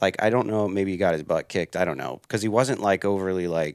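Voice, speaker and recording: A man with an American accent and a very deep, low voice at a fairly quick pace, in a dry sound with no echo over a quiet background. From Pennsylvania. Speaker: hunter and outdoor writer; podcast guest. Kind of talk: casual interview. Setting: trade show podcast booth. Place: home room. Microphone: headset.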